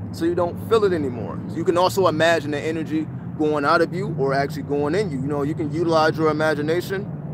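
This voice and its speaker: A man with a fairly high pitch speaks at a very fast pace, with ordinary pitch variation. Noticeable background noise and audible room echo fill the recording. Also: hardly any pauses. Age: 30s. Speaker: spiritual teacher. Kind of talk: livestream talk. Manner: repetitive, casual.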